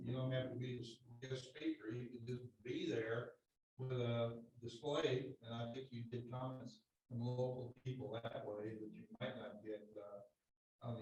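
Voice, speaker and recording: A man speaks at a moderate pace. His somewhat breathy voice has monotone, flat intonation. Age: 70s. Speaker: committee chair. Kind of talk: public meeting discussion. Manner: halting.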